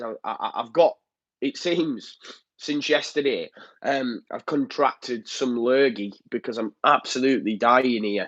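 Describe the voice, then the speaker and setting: A man with a Yorkshire accent talks at a fairly slow pace, his pitch fairly high and varying in an ordinary way. The background is quiet, and the sound is dry and close with no echo. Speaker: football fan channel host. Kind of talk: live stream chat reading comments. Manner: casual, hesitant with fillers.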